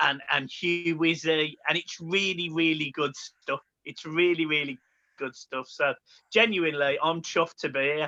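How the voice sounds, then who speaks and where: With a Birmingham accent, a man talks at a moderate pace. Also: fairly high pitch for a man, ordinary pitch variation. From Birmingham, England. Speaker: football podcaster. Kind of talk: casual chat. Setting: recording from home.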